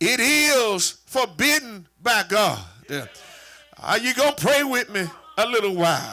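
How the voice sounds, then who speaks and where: Music runs behind a man whose raised, projected voice sits at an extremely high pitch with lively intonation. He speaks fairly slowly, with long, frequent pauses. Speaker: church superintendent / preacher. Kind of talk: sermon preached to a congregation. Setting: church with a live congregation.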